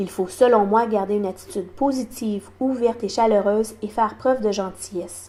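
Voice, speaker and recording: Fairly high in pitch, the woman's voice has a dark, mellow tone. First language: sign language (speaking French). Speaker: deaf community advocate. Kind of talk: awareness talk.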